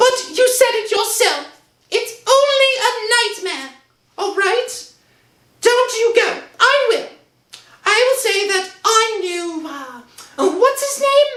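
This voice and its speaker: Using a put-on character voice, a woman squeaks at an extremely high pitch, speaking fairly slowly with long, frequent pauses and a slight echo. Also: lively intonation. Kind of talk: 1960s radio acting. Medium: old radio play.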